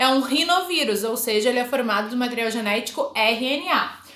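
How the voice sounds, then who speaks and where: A high-pitched woman's voice at a moderate pace with ordinary pitch variation, noticeable background noise and audible room echo. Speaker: biology teacher. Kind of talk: lecture. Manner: casual, informal.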